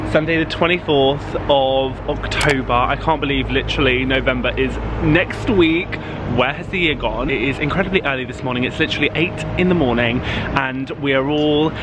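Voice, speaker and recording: The sound is dry with no echo, though noticeable background noise is present. A man speaks at a moderate pace. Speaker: vlogger. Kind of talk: casual vlog chat. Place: street. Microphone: phone near.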